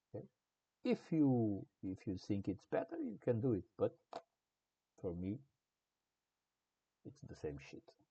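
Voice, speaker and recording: With a non-native accent, a man at medium pitch speaks with lively intonation and long, frequent pauses. His voice is somewhat breathy, and the sound is dry and close with no echo. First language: not English. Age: old. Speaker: game development tutorial creator. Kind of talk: tutorial. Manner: halting.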